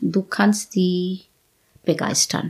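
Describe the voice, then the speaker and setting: A woman with an Indian accent speaks at a very slow pace. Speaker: professor of nutrition science. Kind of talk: casual interview. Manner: halting.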